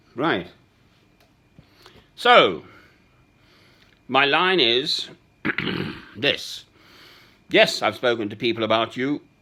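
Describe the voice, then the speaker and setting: Speaking very slowly with long, frequent pauses, a man with an English accent uses a bright, sharp tone, medium pitch and lively intonation. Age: 60s. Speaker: man recording voice messages to a woman. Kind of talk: personal voice message. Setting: at home. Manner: halting.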